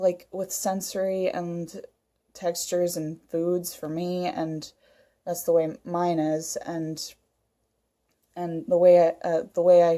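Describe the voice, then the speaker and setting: Speaking very slowly with long, frequent pauses, a woman has a fairly low pitch and a dark, mellow tone. Her intonation is flat and monotone. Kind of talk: casual talk to camera. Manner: hesitant, many fillers.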